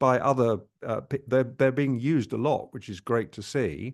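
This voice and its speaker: Over a quiet background, a man talks at a moderate pace with a medium pitch. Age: 60s. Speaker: travel vlogger. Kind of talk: casual chat. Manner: halting.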